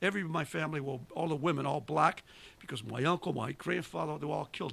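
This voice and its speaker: Speaking very fast, a man with a fairly high pitch and vocal fry shows ordinary pitch variation. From Italy. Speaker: war veteran. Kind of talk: casual chat. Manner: animated.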